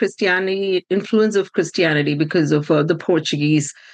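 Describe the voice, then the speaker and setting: A woman with an Indian accent, medium pitch and a moderate pace. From India (Bangalore, Kerala-born). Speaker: early childhood education leader. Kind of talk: podcast interview. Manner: hesitant, many fillers.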